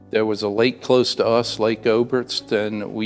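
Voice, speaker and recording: A man talks at a moderate pace with a fairly low pitch. Music plays in the background. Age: 70s. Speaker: war veteran; college instructional support technician. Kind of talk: oral history interview answer.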